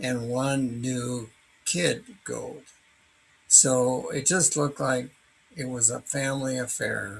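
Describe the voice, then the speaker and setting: A man speaks at a very slow pace. His medium-pitched voice is somewhat breathy. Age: 80s+. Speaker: hiker recounting a wildlife encounter. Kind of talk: personal narration. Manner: halting, with many fillers.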